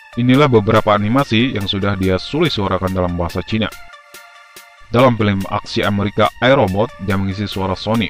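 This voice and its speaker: Music plays in the background. The speech runs at a very fast pace with ordinary pitch variation. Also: man, fairly low pitch for a man. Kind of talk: informational video narration. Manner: casual, chatty.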